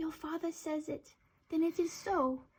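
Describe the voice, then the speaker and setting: At a moderate pace, a speaker puts on a character voice. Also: woman, extremely high pitch for a woman. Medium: read story.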